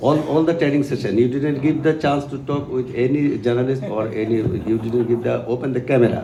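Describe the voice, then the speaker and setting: With audible room echo and noticeable background noise, a man speaks at a medium pitch with fairly even intonation and hardly any pauses. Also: fairly quick pace. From Bangladesh. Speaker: journalist. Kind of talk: press conference questions.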